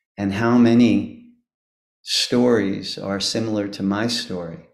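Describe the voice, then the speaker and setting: A man talks with fairly even intonation, and room echo is audible. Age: 70s. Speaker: devotee giving homage. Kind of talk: devotional speech. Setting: video call. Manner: halting.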